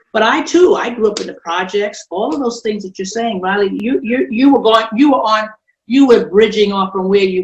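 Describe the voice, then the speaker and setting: Speaking at a moderate pace, a woman has lively intonation and medium pitch. Her voice is somewhat breathy. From New York, Brooklyn. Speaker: model agency owner. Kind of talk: panel discussion.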